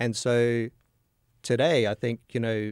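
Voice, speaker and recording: The voice is monotone and flat, at a fairly slow pace. The sound is dry with no echo, against a quiet background. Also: man. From Australia, northern Adelaide. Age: 50s. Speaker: podcast host. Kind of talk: casual interview. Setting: studio. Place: studio. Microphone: studio mic.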